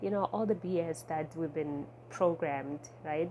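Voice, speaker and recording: Someone with a non-native accent speaks at a moderate pace in a dark, mellow tone with ordinary pitch variation. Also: woman. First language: not English. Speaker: intuitive eating coach. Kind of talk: casual vlog talk. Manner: conversational, many filler words.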